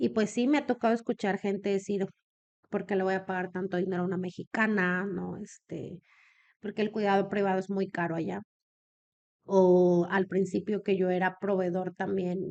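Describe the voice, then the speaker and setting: The speaker keeps a moderate pace and fairly even intonation. The background is quiet. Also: woman. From Mexico, Comarca Lagunera. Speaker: businesswoman in elder care. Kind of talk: podcast interview.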